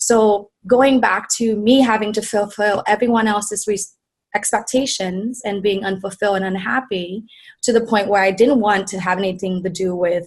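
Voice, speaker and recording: A woman with a Vietnamese accent speaks at a moderate pace in a somewhat breathy, medium-pitched voice with fairly even intonation. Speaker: wellness coach and business founder. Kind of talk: interview.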